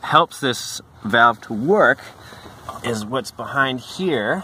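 A man is speaking. The sound is dry with no echo, and there is light background noise. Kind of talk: tutorial. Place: street. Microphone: phone near.

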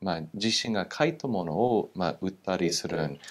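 A man with an English accent. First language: English (speaking Japanese). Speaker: political scientist, former military base official; guest. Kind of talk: interview. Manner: halting, many fillers. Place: studio. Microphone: lapel.

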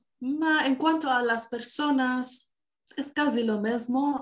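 A somewhat breathy woman at a very slow pace, over a quiet background. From Canada. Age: 20s. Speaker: singer and musician; interview guest. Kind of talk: interview. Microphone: video call.

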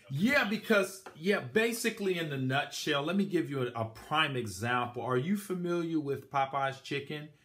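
Ordinary pitch variation and a moderate pace mark a man's speech over a quiet background. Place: home room. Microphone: phone near.

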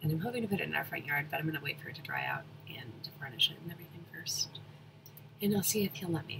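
Soft-spoken and very fast, a woman talks with lively intonation in a very deep, low pitch. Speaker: chainsaw wood carver. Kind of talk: casual talk to camera.

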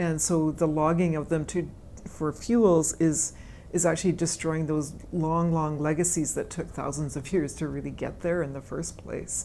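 The delivery is monotone and flat at a moderate pace, with light background noise. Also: woman, very deep, low pitch for a woman. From Canada (British Columbia). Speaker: forest ecologist, professor; professor. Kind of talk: interview answers. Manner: hesitant, many fillers and repetitions. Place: meeting room. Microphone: lapel.

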